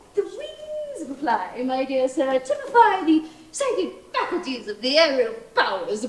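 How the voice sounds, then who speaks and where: This is a put-on character voice at a high pitch. There is a slight echo. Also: moderate pace. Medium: stage play. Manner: calm, inquisitive.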